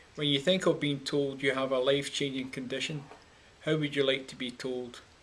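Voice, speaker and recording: A man's medium-pitched voice in a Scottish accent, monotone and flat, at a moderate pace. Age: 60s. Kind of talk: personal testimony. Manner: measured, slightly halting.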